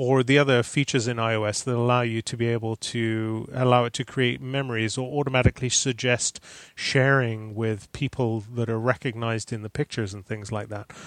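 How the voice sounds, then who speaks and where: The sound is dry and close, with no echo. A man with a medium pitch talks at a fairly quick pace, monotone and flat, with hardly any pauses. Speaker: Mac consultant. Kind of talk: casual chat.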